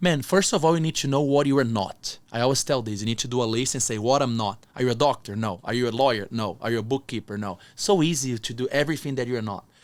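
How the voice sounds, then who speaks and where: A man with a non-native accent at a very fast pace, medium pitch and ordinary pitch variation, with hardly any pauses. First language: not English. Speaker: entrepreneur and motivational speaker. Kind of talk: interview conversation.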